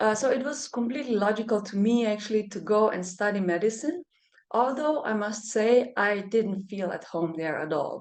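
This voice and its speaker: Speaking at a moderate pace, a woman uses lively intonation in a fairly high pitch. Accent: Slovenian. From Germany, Slovenian parents. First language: Slovenian. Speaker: medical doctor and energy healer. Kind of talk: interview conversation. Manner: halting, many fillers.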